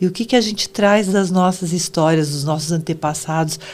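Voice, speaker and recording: There is noticeable background noise behind a woman speaking. Her pitch is medium, with ordinary pitch variation. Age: 70s. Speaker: psychoanalyst. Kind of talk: interview.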